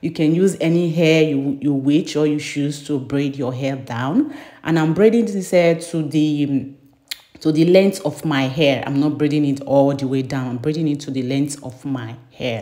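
A woman speaks at a moderate pace in a very deep, low pitch, with ordinary pitch variation. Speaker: beauty vlogger. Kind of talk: tutorial. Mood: cheerful, smiling. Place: bathroom. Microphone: phone near.

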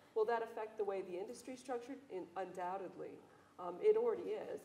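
Fairly quick and fairly even in intonation, a woman speaks. Audible room echo and light background noise are present. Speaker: economist and pharmaceutical industry executive. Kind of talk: panel discussion. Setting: stage with audience. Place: hall.

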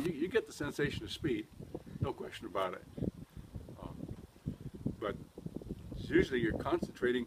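A man speaks at a fairly quick pace while noticeable background noise carries on behind him. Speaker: race car driver. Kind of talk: interview answer. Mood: relaxed, cheerful. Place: street.

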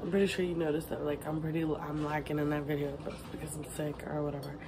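Over noticeable background noise, a woman talks at a very fast pace. Her pitch is very deep and low. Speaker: vlogger. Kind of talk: casual vlog chat. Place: home room. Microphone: phone near.

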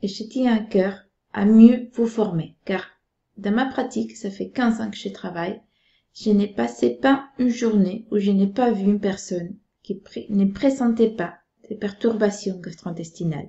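A woman speaks in a somewhat breathy voice with ordinary pitch variation. The background is quiet. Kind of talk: health explainer talk. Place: home room. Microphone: webcam.

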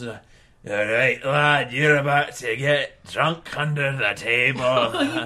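Someone uses a put-on character voice at a very slow pace, with hardly any pauses. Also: man, medium pitch for a man. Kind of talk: comic overacting. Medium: actual play. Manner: boastful, leering, slurring.

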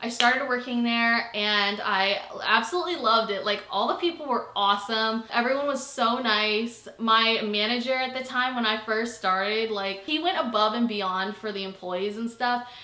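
A woman talks at a moderate pace with ordinary pitch variation and hardly any pauses, her voice carrying audible room echo. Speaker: vlogger. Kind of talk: casual vlog chat. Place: home room.

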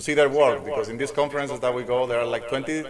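Over noticeable background noise, a man talks with fairly even intonation. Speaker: speaker. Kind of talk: lecture. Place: hall. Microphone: podium.

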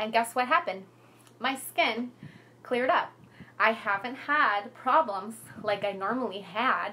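Over noticeable background noise, a woman talks at a moderate pace with long, frequent pauses. Her voice is fairly high, with ordinary pitch variation. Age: 30s. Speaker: makeup seller hosting a live product class. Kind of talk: live video product demonstration. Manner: animated.

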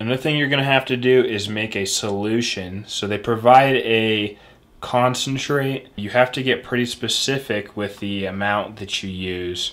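Speaking at a moderate pace, the man uses ordinary pitch variation. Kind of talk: tutorial. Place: home room.

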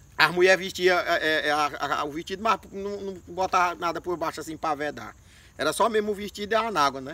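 High and bright with a sharp tone, a man's voice shows ordinary pitch variation. The sound is dry, with no echo. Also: fairly quick pace. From Maranhão, Brazilian Northeast. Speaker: storyteller comedian. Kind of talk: comic storytelling. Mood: relaxed, humorous. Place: open country. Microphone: camera far.

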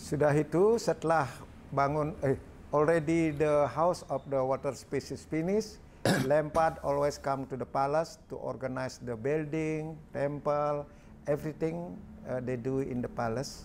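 Light background noise sits behind a man speaking at a moderate pace. His voice is fairly high, with ordinary pitch variation. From Indonesia. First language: Balinese. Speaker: artist. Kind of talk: talk; interview answer. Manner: halting. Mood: warm, smiling. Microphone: lapel.

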